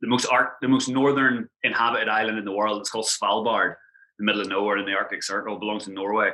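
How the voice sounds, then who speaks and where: With an Irish accent, a man talks at a very fast pace in a bright, sharp tone with ordinary pitch variation. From Ireland. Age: 30s. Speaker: travel blogger. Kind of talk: casual interview chat. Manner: animated.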